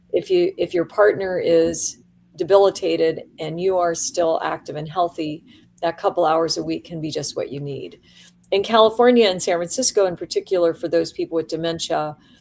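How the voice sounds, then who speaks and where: Speaking at a moderate pace, a woman uses a plain, everyday voice, fairly low-pitched, with ordinary pitch variation. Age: 60s. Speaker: aging services executive. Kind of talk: interview.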